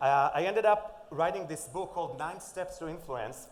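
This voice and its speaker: A man with an Israeli accent speaks at a moderate pace in a fairly high pitch with ordinary pitch variation. Audible room echo and noticeable background noise surround his voice. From Israel (Safed). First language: Hebrew. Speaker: conference speaker, influencer and author. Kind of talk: conference talk. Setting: stage with audience. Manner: animated, varied intonation.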